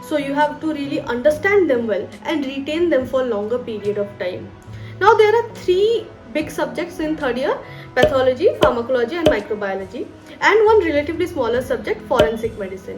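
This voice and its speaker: Woman's high-pitched voice with very wide pitch swings, music in the background. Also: fairly quick pace. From West Bengal, India. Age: 20s. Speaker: doctor and study YouTuber. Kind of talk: advice video to camera.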